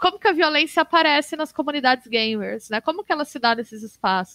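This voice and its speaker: A woman speaks in an ordinary speaking voice. Her pace is fairly quick, her intonation lively. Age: 30s. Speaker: games researcher and university professor. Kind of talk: casual interview.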